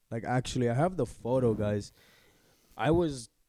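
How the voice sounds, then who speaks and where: A dark, mellow tone comes through. The background is silent on this very clean recording. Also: man. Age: 20s. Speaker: podcast co-host. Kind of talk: casual chat. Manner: animated.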